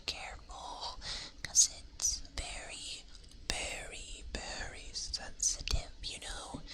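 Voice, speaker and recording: Over noticeable background noise, a voice whispers at a very slow pace. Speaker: ASMR streamer. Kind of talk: ASMR livestream chat. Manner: soft-spoken.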